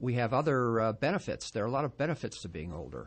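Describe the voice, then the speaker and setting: In a plain, everyday voice, a man speaks at a medium pitch with ordinary pitch variation. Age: 60s. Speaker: doctor, aging expert. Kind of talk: radio interview. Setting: radio studio.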